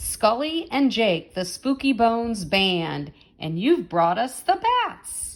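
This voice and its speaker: Putting on a character voice, a woman speaks at a fairly slow pace in a fairly high pitch, with a warm, playful tone and very wide pitch swings. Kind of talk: bedtime story. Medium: read story.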